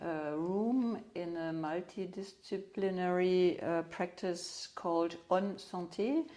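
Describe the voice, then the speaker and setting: Speaking at a very slow pace, a woman with a German accent has a medium pitch and a dark, mellow tone. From Germany. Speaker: craniosacral therapist. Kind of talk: interview. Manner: halting, many fillers.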